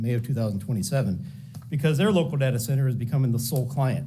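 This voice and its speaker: Audible room echo surrounds a man speaking at a very fast pace in a somewhat breathy voice with a dark, mellow tone. His pitch is medium, with ordinary pitch variation. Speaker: public commenter at county meeting. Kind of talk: public comment speech. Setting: public meeting.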